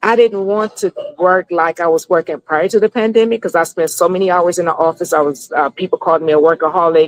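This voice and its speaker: With a normal speaking voice, a woman talks at a fairly low pitch and with fairly even intonation, in a dry, close sound with no echo. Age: 60s. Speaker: business consultant. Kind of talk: interview.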